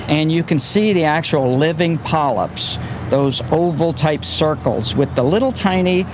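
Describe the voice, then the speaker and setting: With noticeable background noise behind him, a man speaks in a fairly high voice. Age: 60s. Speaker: marine biologist. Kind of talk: on-location interview, explaining.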